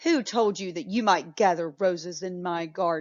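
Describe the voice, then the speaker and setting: A woman puts on a gruff character voice at a medium pitch, speaking at a moderate pace. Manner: angry, roaring.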